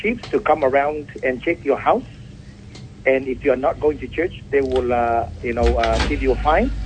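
A man is speaking. Background noise is noticeable. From Pacific Islands. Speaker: pastor. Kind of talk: interview. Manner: formal.

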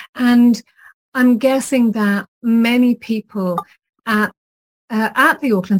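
In an Irish accent, a woman sounds somewhat breathy, using ordinary pitch variation in a dry, close recording with no echo. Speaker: podcast host. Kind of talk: interview conversation.

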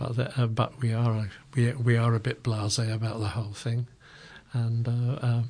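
His voice has a dark, mellow tone, somewhat breathy, delivered in a flat monotone. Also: medium pitch for a man, fairly slow pace. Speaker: community radio host. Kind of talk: interview. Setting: studio. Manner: halting.

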